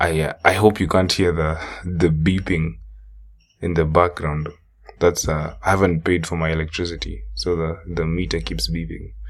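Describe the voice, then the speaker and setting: The man's voice is very deep and low. He keeps a moderate pace with ordinary pitch variation. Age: young. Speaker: stand-up comedian and podcast host. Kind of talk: casual podcast monologue. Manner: halting, many fillers and restarts.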